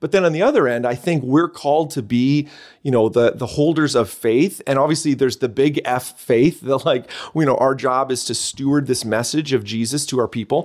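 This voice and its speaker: A man with a slight Canadian accent talks at a fairly quick pace, medium pitch and ordinary pitch variation. The recording is very clean, with a silent background. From Canada. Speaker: church leader and author.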